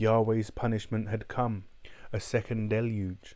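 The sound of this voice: An unforced reading voice carries the text.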